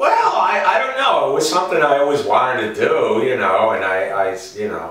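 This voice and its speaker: Over noticeable background noise, a man with a New York accent talks with hardly any pauses. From New York City. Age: 60s. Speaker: stand-up comedian. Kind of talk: interview answer.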